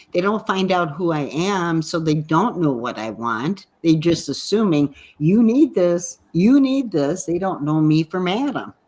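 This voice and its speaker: A woman with an American accent and a fairly low pitch, very wide pitch swings, a fairly slow pace and hardly any pauses. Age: 60s. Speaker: digital entrepreneur and financial mentor. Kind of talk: podcast interview.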